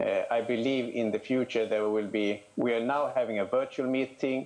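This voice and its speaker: With a Swedish accent, a man speaks at a fairly quick pace. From Sweden. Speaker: candidate for federation vice president. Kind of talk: election candidate statement. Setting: video call. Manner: hesitant, many fillers.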